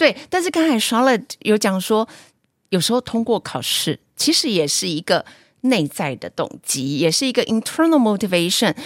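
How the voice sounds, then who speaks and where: At a moderate pace, a woman with fairly high pitch speaks with vocal fry and very wide pitch swings. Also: very clean recording, silent background. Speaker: teacher and podcast host. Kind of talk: casual chat.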